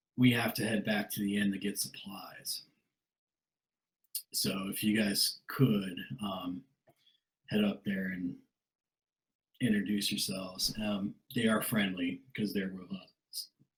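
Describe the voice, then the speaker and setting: A man puts on a character voice, raspy and fairly low in pitch. He goes at a fairly slow pace with fairly even intonation and long, frequent pauses. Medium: actual play. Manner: earnest, straightforward.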